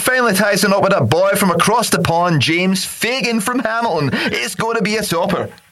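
The reading aloud is plain, and the pitch shifts in an ordinary way.

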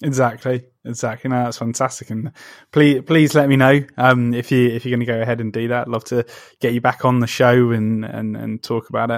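A man with a British accent speaks at a fairly quick pace and medium pitch. His intonation is monotone and flat, on a very clean recording with a silent background. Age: 30s. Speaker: podcast host, comic book writer. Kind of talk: interview. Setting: conservatory. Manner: halting.

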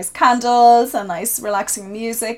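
Speaking at a fairly slow pace with a southeastern Irish accent, a woman is heard on a very clean recording with a silent background. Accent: Irish (south-east). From Ireland, County Wexford. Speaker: social media marketer. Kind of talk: interview conversation.

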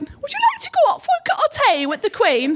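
In a put-on, squeaky character voice, the speaker moves at a moderate pace with very wide pitch swings. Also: woman, extremely high pitch for a woman.

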